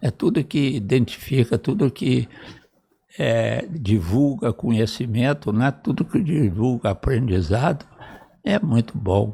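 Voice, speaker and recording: The voice moves at a very slow pace with a dark, mellow tone and vocal fry. Its intonation is lively while its loudness stays very even. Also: man, medium pitch for a man. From Brazil, northwestern Rio de Janeiro state. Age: 80s+. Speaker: retired cardiac surgeon and professor. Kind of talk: interview, reminiscing.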